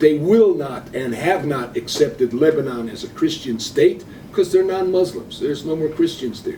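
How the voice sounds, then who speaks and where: A man with an American accent and fairly high pitch speaks at a moderate pace with hardly any pauses. His intonation is lively, his loudness swings widely, and noticeable background noise is present. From Cleveland, Ohio, USA. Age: 70s. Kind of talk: interview answer. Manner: blunt, opinionated.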